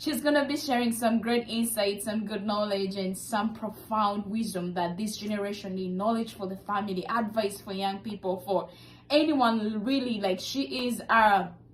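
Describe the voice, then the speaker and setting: A woman speaks at a moderate pace with a medium pitch and ordinary pitch variation, barely pausing. Her tone is upbeat, and there is noticeable background noise. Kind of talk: interview host.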